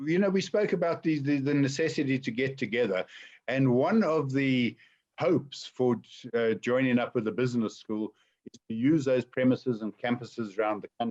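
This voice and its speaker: A man with an unremarkable speaking voice and a medium pitch talks at a moderate pace with lively intonation, the sound dry and close with no echo. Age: 60s. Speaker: entrepreneur. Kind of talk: webinar Q&A.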